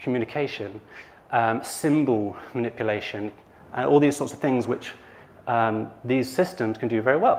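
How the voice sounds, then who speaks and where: An unremarkable speaking voice from a man, medium in pitch, with ordinary pitch variation at a moderate pace. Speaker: conference speaker on AI ethics. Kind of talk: conference talk.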